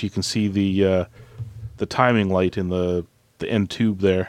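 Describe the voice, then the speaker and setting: A man speaks in an unremarkable speaking voice, fairly low in pitch, at a moderate pace with fairly even intonation. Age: 40s. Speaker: podcast co-host. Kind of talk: film commentary chat.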